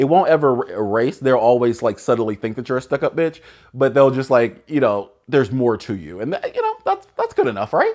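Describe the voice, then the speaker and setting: A man with an energetic, relaxed tone at medium pitch, ordinary pitch variation and a fairly quick pace. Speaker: lifestyle video host. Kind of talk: casual advice talk. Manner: loud; energetic, relaxed conversational.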